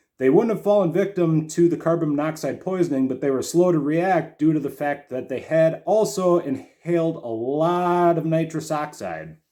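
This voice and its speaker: Heard in a very clean recording with a silent background, a man with a fairly high pitch uses a normal speaking voice with ordinary pitch variation. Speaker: comedy news host. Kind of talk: satirical news desk comedy monologue.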